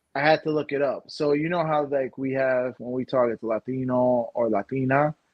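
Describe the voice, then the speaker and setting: This man has an ordinary speaking voice with medium pitch, a moderate pace and fairly even intonation. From Puerto Rican American. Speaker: podcast co-host. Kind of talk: casual chat. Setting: live stream.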